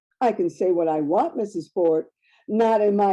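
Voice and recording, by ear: Against a quiet background, the words are read aloud in a natural voice.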